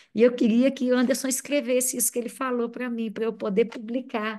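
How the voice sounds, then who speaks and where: Speaking with a Minas Gerais accent, a woman keeps a fairly quick pace and fairly high pitch with fairly even intonation. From Brazil, Minas Gerais. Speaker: psychoanalyst. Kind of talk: seminar talk.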